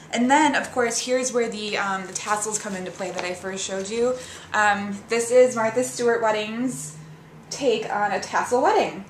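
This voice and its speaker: Noticeable background noise and audible room echo surround a woman with a fairly high pitch. Her loudness swings a lot, while her pitch varies in an ordinary way. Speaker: wedding planner vlogger. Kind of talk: casual product review vlog. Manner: fast; animated.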